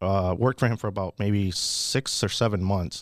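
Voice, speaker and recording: Recorded very cleanly with a silent background, a man talks with ordinary pitch variation. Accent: American. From Houston, Texas. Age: 30s. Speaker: real estate wholesaler. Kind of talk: podcast interview.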